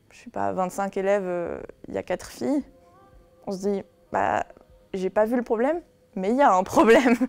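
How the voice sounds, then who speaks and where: Over music in the background, a woman speaks at a moderate pace and medium pitch with lively intonation, big swings in loudness and long, frequent pauses. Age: 20s. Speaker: university student. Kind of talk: interview. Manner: hesitant, many fillers.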